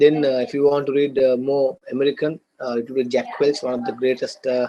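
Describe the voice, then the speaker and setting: A man of medium pitch with a Sri Lankan accent speaks at a fairly quick pace with fairly even intonation. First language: Sinhala and Tamil. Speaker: business lecturer. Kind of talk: lecture. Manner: hesitant, many fillers and repeats.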